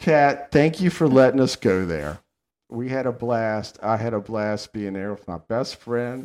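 With a Southern US accent, a man at medium pitch speaks at a fairly slow pace in an animated tone, his intonation lively and his loudness swinging widely, in a very clean recording with a silent background. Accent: Southern American. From US South. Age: old. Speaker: podcast host. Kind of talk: casual chat.

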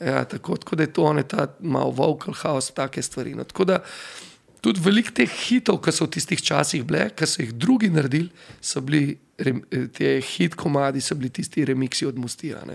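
A man speaks at a fairly high pitch with lively intonation. Vocal fry shows up in his voice. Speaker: DJ and event organizer. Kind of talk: casual interview chat.

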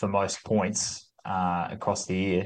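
A man speaks with an Australian accent. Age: 30s. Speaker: fill-in co-host. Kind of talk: casual chat. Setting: video call.

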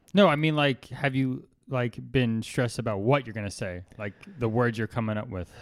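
Very clean recording, silent background, and a man with a plain, everyday voice, medium pitch, ordinary pitch variation and moderate pace. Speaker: podcast co-host. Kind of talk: casual chat.

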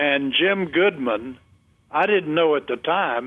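Talking at a fairly slow pace, a man with a North Carolina accent uses ordinary pitch variation. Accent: North Carolina Southern. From North Carolina, Montgomery County. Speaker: retired broadcaster. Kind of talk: interview reminiscence.

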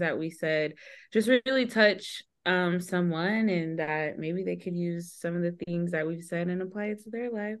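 This is a woman with a fairly low pitch. Her pitch varies in an ordinary way. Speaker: married guest. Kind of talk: casual chat.

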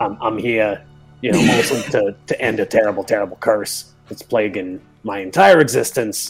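A man's raspy, put-on character voice at medium pitch and a moderate pace, with faint music in the background. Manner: eager, servile.

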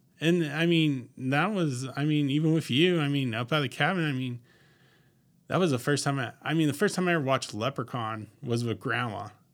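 In a very clean recording with a silent background, a man with an unremarkable speaking voice talks fairly quickly at a fairly high pitch, with ordinary pitch variation. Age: 30s. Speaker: guest, delivery business worker. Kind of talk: casual chat.

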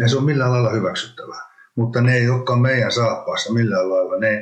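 Speech at a moderate pace amid audible room echo. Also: man. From Finland, Hämeenlinna. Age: 50s. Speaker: former ice hockey player and entrepreneur. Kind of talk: interview, casual conversation. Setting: studio, in person.

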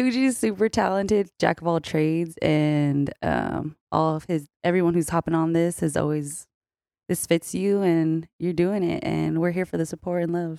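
With a fairly low pitch and a dark, mellow tone, a woman speaks at a moderate pace with ordinary pitch variation, in a dry, close sound with no echo. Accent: Californian. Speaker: podcast guest. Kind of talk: casual chat.

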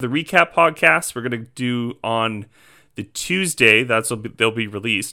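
On a very clean recording with a silent background, a man with a Canadian accent speaks at a moderate pace in a bright, sharp tone with ordinary pitch variation. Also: medium pitch for a man. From Canadian Prairies, near Edmonton. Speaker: podcast host and morning TV show presenter. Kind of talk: casual chat.

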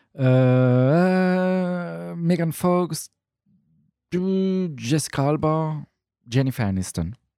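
A man's dark, mellow voice, fairly high in pitch, with lively intonation and a very slow pace. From Luxembourg, Portuguese family. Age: 30s. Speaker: stand-up comedian. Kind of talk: casual chat. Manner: halting.

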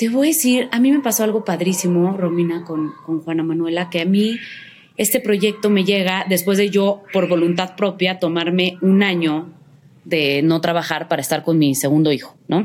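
Very even loudness and ordinary pitch variation mark this moderately paced speech, heard over noticeable background noise. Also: woman, medium pitch for a woman. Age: 30s. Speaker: actress. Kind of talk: casual chat.

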